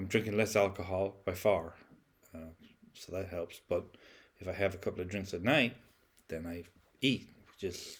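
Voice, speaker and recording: Fairly low in pitch and somewhat breathy, a man speaks at a moderate pace with fairly even intonation, big swings in loudness and long, frequent pauses. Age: 60s. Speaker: vlogger. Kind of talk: casual monologue. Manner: halting, many fillers and repeats.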